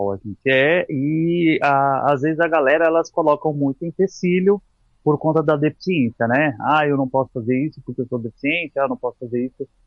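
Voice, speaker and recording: At a moderate pace, a man with fairly high pitch speaks in a plain, everyday voice with ordinary pitch variation. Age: 40s. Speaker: physical educator and mountaineer. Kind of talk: casual chat. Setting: podcast interview.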